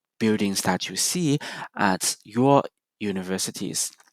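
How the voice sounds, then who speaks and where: At a very slow pace, a man speaks with a slight non-native accent and a fairly low pitch. His pitch varies in an ordinary way, and the sound is dry and close with no echo. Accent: slight foreign. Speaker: presenter giving a building tour. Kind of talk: prepared presentation, simulated guided tour. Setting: recorded for virtual practice session.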